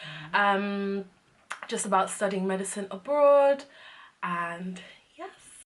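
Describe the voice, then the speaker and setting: A woman with a London accent, a fairly high voice and ordinary pitch variation against noticeable background noise. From England. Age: 20s. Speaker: medical student. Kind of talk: casual talk to camera.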